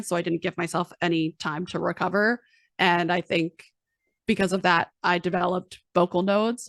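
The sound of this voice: A woman puts on a raspy, hoarse character voice at a medium pitch. She talks at a moderate pace with fairly even intonation, and the sound is dry and close with no echo.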